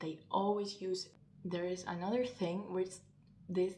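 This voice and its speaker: A woman at medium pitch with a Spanish accent, very slow and monotone, flat in intonation, with audible room echo. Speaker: language learning youtuber. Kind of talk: vlog-style advice talk.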